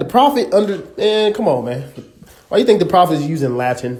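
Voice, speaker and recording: A high-pitched man with an American accent, moderate pace, and audible room echo. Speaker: religious teacher. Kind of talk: live stream teaching. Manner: casual, conversational.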